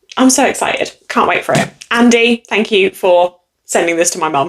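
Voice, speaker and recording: Her tone animated, a woman speaks with lively intonation. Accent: English. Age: 20s. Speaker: booktuber. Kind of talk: casual chat.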